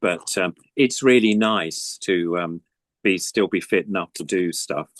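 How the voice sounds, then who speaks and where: A man with an English accent, fairly low pitch and ordinary pitch variation at a fairly slow pace, in a dry, close sound with no echo. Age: 70s. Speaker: puppeteer. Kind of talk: casual chat.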